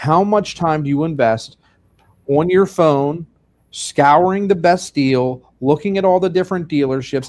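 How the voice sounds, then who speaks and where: The speaker has a Pennsylvania accent and a fairly slow pace. Pitch varies in an ordinary way, and the background is quiet. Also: man, fairly high pitch for a man. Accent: Pennsylvania accent, lilting. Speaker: funeral director and show host. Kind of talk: video podcast conversation.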